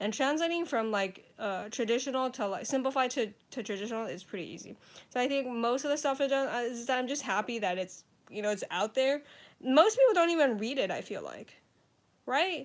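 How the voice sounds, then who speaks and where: With an American accent, a woman talks at a fairly quick pace in a high pitch, her intonation lively. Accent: sounds American. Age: 20s. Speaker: author and comedian. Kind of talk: casual livestream chat. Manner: casual, filler-heavy.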